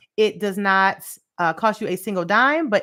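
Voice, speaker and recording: An animated woman's voice, medium in pitch, with lively intonation. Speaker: finance educator and livestream host. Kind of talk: live stream teaching with viewer comments. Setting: livestream on YouTube. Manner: fast; animated, casual.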